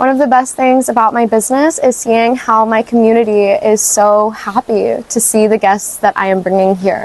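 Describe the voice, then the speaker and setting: With noticeable background noise behind her, a woman with a fairly high pitch speaks at a moderate pace, hardly pausing, her loudness very even and her intonation fairly even. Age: 20s. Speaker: small business owner. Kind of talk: interview monologue.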